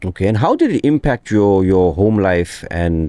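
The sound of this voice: With a dark, mellow tone and a low pitch, a man speaks at a fairly slow pace with big pitch swings.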